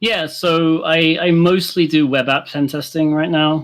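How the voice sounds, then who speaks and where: A man with a British accent. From UK. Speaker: penetration tester. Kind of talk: interview. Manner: halting, many fillers.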